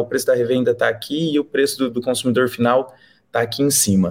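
A man speaks with an unremarkable speaking voice. His pitch varies in an ordinary way. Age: 20s. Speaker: company director. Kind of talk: casual interview.

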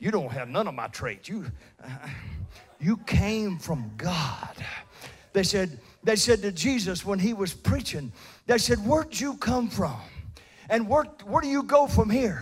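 A man speaks at a fairly slow pace in a high pitch, with an animated, warm tone, very wide pitch swings and long, frequent pauses. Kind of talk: sermon to a live congregation, with call-and-response. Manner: animated, emphatic pulpit delivery with repeated words and stops, laughs and warm asides; bold, confident, punchy declarations, like a pep talk.

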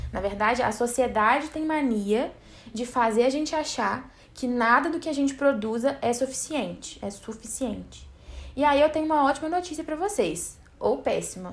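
Lively intonation at a moderate pace. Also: woman. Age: 20s. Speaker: podcast host. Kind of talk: casual solo podcast monologue. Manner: informal, chatty with laughter.

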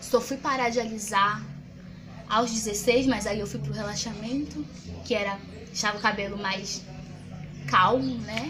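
A woman speaks at a moderate pace. There is audible room echo along with noticeable background noise. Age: 20s. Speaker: student activist. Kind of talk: interview testimony.

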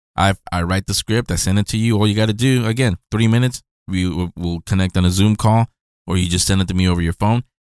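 A man's fairly low voice with an American accent, very fast and fairly even in intonation, in a dry, close sound with no echo and a very clean recording over a silent background. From California. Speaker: podcast host. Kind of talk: casual interview.

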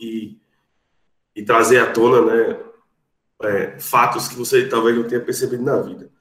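Audible room echo around a man talking at a fairly slow pace. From Brazil, Rio Grande do Norte. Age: 30s. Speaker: lawyer. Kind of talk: podcast interview. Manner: formal.

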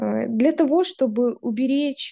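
A somewhat breathy woman's voice with a dark, mellow tone, ordinary pitch variation and a very slow pace, against a quiet background. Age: 20s. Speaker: podcast co-host, lawyer. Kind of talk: casual chat.

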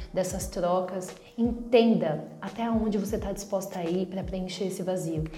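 The woman talks at a moderate pace. Noticeable background noise and audible room echo are present. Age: 30s. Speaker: podcast host. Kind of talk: reflective monologue.

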